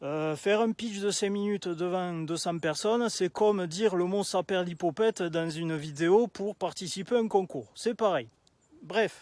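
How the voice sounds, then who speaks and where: A man's high-pitched voice at a fairly slow pace, very cleanly recorded against a silent background, dry and close with no echo. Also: ordinary pitch variation. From southern France, Toulouse area. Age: 30s. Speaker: aspiring public speaker. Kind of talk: storytelling video pitch. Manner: casual, many filler hesitations.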